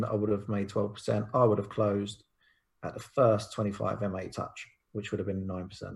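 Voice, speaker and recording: On a very clean recording with a silent background, a man with a London accent speaks at a fairly quick pace, his fairly low voice somewhat breathy. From South London. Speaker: crypto trader and property developer. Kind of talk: casual interview about trading charts.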